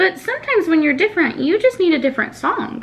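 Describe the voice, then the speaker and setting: A woman's squeaky put-on character voice, extremely high in pitch, with very wide pitch swings, very even loudness and a very fast pace. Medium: read story.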